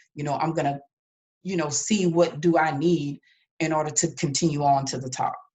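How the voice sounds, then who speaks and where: This woman's pitch is very deep and low, and her voice is somewhat breathy. She speaks fairly quickly in a monotone, flat delivery. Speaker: business coach. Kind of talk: motivational talk.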